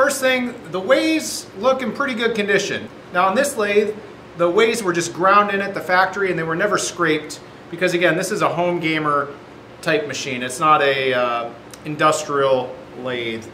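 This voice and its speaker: In a room with audible echo and light background noise, a man with a high pitch speaks at a moderate pace. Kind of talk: tutorial. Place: workshop.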